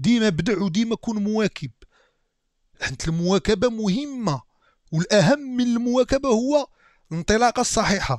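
Over a quiet background, a man with a Moroccan accent talks in a high pitch with lively intonation. He keeps a moderate pace, and the sound is dry with no echo. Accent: Moroccan Darija. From Morocco. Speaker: YouTube reactor. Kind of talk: reaction video commentary. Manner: animated. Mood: joking, amused. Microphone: headset.

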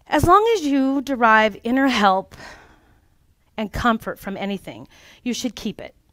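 A woman's high-pitched voice with big swings in loudness, quiet background and a dry sound with no echo. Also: fairly slow pace. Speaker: life coach and former childcare provider. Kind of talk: workshop presentation. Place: meeting room.

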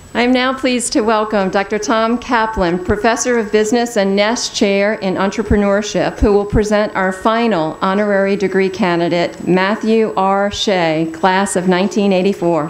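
Against noticeable background noise, the speaker keeps a moderate pace with hardly any pauses, fairly even intonation and very even loudness. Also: woman, medium pitch for a woman. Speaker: university president presiding over commencement. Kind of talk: formal commencement ceremony, announcing presenters and conferring degrees. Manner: formal, ceremonial, measured.

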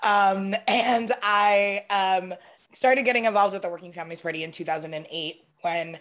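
Over a quiet background, a woman speaks with an American accent. Her pitch is medium, with ordinary variation. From New York City (Brooklyn and Staten Island); New York City. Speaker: political organizer; panelist. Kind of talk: panel discussion. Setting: video call. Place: home room. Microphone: video call.

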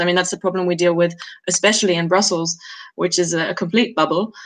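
A woman's monotone, flat delivery over a quiet background. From Germany. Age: 20s. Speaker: policy coordinator; webinar panelist. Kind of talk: online panel discussion. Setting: video call. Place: home room. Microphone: video call.

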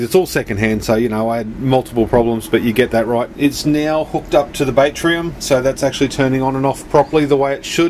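A man speaks with ordinary pitch variation. Light background noise can be heard. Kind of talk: casual vlog explanation. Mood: mildly frustrated, troubleshooting. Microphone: phone near.

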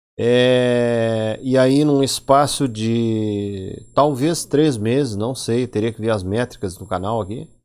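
A man with a Rio Grande do Sul accent, medium in pitch, at a very slow pace with hardly any pauses, ordinary pitch variation, and a quiet background. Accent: southern Brazilian gaúcho Portuguese. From Brazil, Rio Grande do Sul (Porto Alegre). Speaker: YouTuber, Linux tech channel host; tech channel host. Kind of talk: casual vlog monologue. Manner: animated.

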